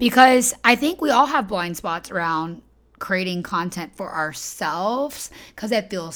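This woman's animated delivery moves at a fairly slow pace, her pitch swinging very widely. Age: 30s. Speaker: business coach and podcast host. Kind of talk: solo podcast monologue.

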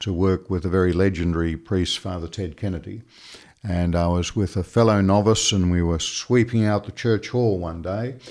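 A man with an Australian accent speaks in a very deep, low pitch at a moderate pace. His intonation is fairly even, and the recording is very clean with a silent background. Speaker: Jesuit priest and lawyer. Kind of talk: interview.

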